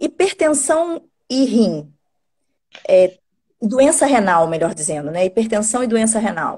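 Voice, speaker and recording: A woman's voice, fairly high in pitch. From Rio de Janeiro, Brazil. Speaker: nephrologist and medical teacher. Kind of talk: live stream medical conversation. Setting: online live stream.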